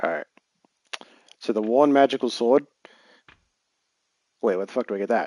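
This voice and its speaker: This man, with an American accent, talks at a medium pitch and a fairly quick pace with ordinary pitch variation and long, frequent pauses, in a dry, close sound with no echo. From England. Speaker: video game streamer. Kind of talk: live gameplay stream commentary.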